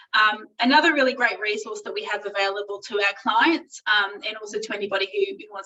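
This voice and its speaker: A fairly high-pitched woman with an Australian accent and ordinary pitch variation. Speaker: employment lawyer. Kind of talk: webinar presentation. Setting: online webinar. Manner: fast.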